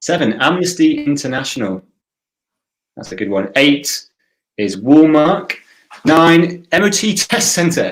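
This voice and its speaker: A man speaks with a fairly high pitch and very wide pitch swings, his voice catching in vocal fry. He leaves long pauses, and often. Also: fairly slow pace. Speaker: quiz host. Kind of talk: live online quiz hosting. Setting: livestream. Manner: quiet. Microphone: quiet mic.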